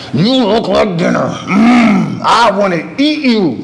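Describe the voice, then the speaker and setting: A man does a put-on character voice at a high pitch and a very slow pace. Background noise is clearly audible. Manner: growling, menacing.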